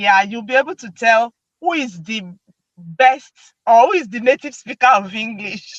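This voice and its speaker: A woman with a Nigerian accent speaks at a moderate pace and a fairly high pitch, with lively intonation, big swings in loudness and a dry, close sound with no echo. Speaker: video host. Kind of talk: casual chat.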